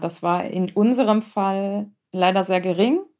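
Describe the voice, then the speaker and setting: This woman has a plain, everyday voice at a medium pitch. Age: 30s. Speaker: founder of a support association, relative of a cancer patient. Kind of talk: interview about personal experience.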